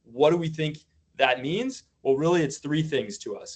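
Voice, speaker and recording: A man is talking. His pace is fairly quick. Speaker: former school principal presenting to a working group. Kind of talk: slide presentation at a public meeting. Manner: fast.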